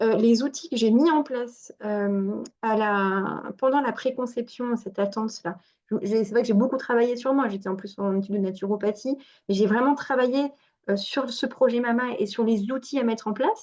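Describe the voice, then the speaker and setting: Moderate pace and ordinary pitch variation. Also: woman, fairly high pitch for a woman. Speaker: fertility coach and naturopath. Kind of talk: online workshop talk. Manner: animated.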